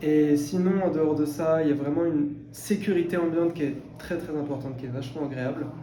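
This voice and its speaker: A man's fairly high voice at a fairly quick pace, fairly even in intonation, with noticeable background noise and audible room echo. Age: 20s. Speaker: translation intern. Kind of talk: interview testimony. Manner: hesitant, many fillers.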